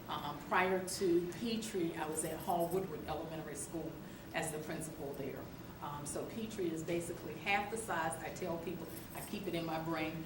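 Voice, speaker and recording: Against noticeable background noise and audible room echo, a woman speaks at a moderate pace. Her pitch is fairly low and her intonation fairly even. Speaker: school principal. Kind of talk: meeting introduction. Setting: school media center meeting. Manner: soft-spoken.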